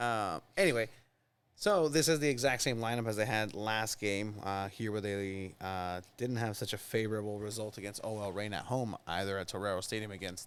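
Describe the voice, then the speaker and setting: Speaking with a Mexican accent, a man at a fairly low pitch keeps a moderate pace in a very clean recording with a silent background. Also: ordinary pitch variation. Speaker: soccer podcast host. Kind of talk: casual chat. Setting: studio.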